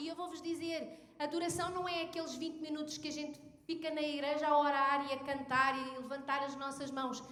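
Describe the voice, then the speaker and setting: In a room with audible echo, a high-pitched woman speaks at a moderate pace with hardly any pauses, her bright, sharp tone held in a monotone, flat intonation. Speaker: pastor. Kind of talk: sermon.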